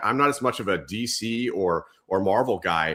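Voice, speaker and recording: A man speaks at a medium pitch in an American accent, his tone bright and sharp. The recording is very clean, with a silent background. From Southern California, Whittier. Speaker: leadership coach and author, former police officer. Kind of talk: interview conversation.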